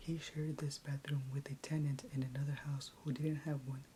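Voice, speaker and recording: A soft-spoken woman talks at a moderate pace in a very deep, low, somewhat breathy voice. Her tone is dark and mellow, her intonation monotone and flat. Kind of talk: asmr story reading. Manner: soft-spoken, quiet.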